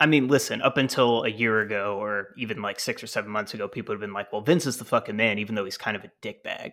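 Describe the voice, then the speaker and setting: Bright and sharp in tone, a man's fairly low voice races at a very fast pace. There are hardly any pauses. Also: ordinary pitch variation, very clean recording, silent background. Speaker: wrestling podcast co-host. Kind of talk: casual chat.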